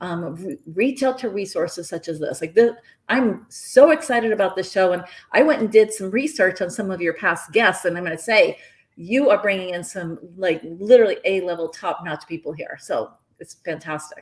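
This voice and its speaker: A woman speaks at a moderate pace in an animated tone with lively intonation and big swings in loudness. The recording is very clean, with a silent background. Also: medium pitch for a woman. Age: 60s. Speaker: health and wellness advocate. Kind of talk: interview.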